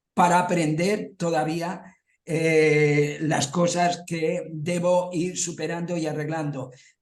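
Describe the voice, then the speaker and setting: A man's high-pitched voice with audible room echo. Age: 70s. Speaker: study group participant. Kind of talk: group discussion.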